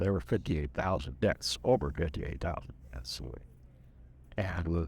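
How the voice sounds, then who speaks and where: On a very clean recording with a silent background, a man speaks fairly slowly with vocal fry. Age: 70s. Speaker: war veteran. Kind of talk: interview. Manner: halting.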